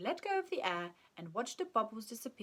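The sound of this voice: This is an unforced reading voice.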